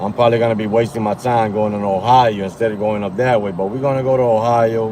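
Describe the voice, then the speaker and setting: A man with a medium pitch and an animated tone talks at a fairly quick pace amid noticeable background noise. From New York. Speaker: rideshare driver streamer. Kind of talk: live stream chat. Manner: loud.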